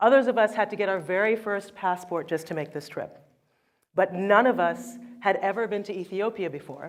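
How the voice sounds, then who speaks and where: Woman with an ordinary speaking voice, medium pitch, ordinary pitch variation and a fairly quick pace. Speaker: author and photographer. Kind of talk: keynote talk.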